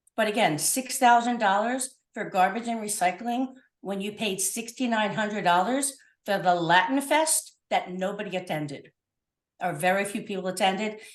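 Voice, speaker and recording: A woman speaks at a moderate pace in an animated tone, her medium-pitched voice rising and falling with lively intonation. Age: 60s. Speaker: public commenter at council meeting. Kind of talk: public comment.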